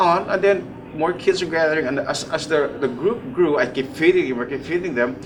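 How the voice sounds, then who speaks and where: Audible room echo and noticeable background noise surround speech at a fairly quick pace. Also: man. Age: 60s. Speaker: charity volunteer. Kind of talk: interview conversation.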